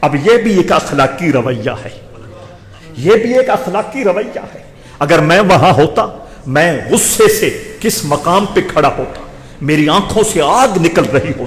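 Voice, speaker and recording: There is noticeable background noise as a man speaks in a high pitch with very wide pitch swings. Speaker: Islamic scholar giving a Friday sermon. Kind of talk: religious sermon (khutba).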